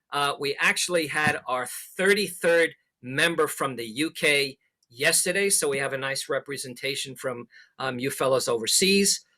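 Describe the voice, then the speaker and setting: This man's voice sits fairly high in pitch. His tone is bright and sharp. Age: 60s. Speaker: amateur radio instructor. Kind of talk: presentation. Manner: hesitant, many fillers.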